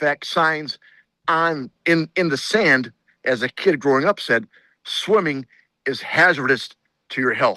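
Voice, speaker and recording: A man with an Upper Midwest accent speaks at a fairly high pitch in a bright, sharp tone, with ordinary pitch variation. His pace is fairly slow with long, frequent pauses, and the sound is dry and close with no echo over a quiet background. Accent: Upper Midwest American (Michigan). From southeast Michigan, Monroe County. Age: 60s. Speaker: state senator. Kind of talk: interview. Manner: halting, repeats words.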